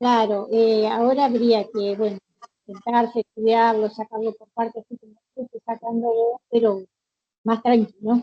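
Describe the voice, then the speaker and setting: A woman with an Argentine accent speaks fairly slowly in a dark, mellow tone with monotone, flat intonation. Her loudness swings widely, and the sound is dry and close with no echo. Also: fairly high pitch for a woman. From Argentina. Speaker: language student. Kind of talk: online language class.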